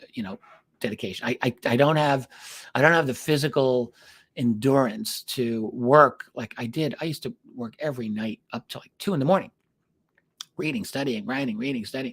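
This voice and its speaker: A man's medium-pitched voice at a fairly quick pace, with big swings in loudness, in a very clean recording with a silent background and a dry, close sound with no echo. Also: ordinary pitch variation. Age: 60s. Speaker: UFO researcher and author. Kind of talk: solo podcast monologue. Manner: casual, halting with many fillers.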